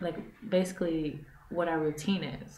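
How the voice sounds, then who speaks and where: A woman is heard in a room with audible echo. Noticeable background noise runs throughout. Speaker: vlogger, mother living abroad. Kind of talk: casual vlog talk to camera. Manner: loud; animated.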